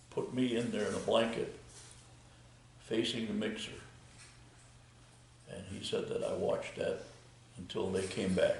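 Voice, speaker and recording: Amid audible room echo, a man with an American accent talks with long, frequent pauses. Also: moderate pace. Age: 80s+. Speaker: retired concrete contractor. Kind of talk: interview. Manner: halting, many fillers.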